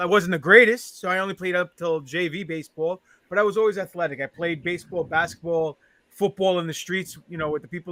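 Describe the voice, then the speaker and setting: With a New York accent, a man with a high pitch speaks at a fairly quick pace in a bright, sharp tone, with fairly even intonation and big swings in loudness, captured in a very clean recording with a silent background and a dry, close sound with no echo. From New York, Queens. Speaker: professional wrestler. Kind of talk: casual chat.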